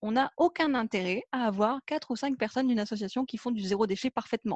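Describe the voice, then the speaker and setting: Recorded dry and close with no echo, a woman with a fairly high voice talks at a very fast pace. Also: quiet background. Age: 20s. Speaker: environmental program manager. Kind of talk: casual interview.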